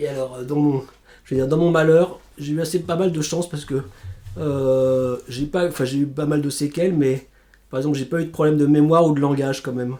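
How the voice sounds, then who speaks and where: A fairly high-pitched man talks at a fairly quick pace. His intonation stays fairly even. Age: 40s. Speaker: stroke survivor, civil servant. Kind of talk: testimony. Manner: halting, with repetitions.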